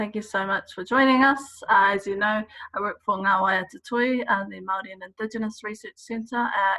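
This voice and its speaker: Here a woman uses a normal speaking voice, fairly high in pitch with ordinary pitch variation. She talks at a fairly quick pace, and the sound is dry and close with no echo. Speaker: researcher. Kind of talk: interview questions.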